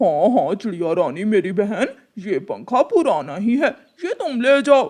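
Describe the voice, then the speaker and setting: A man's cartoonish character voice, pitched high. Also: moderate pace. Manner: cunning, smug.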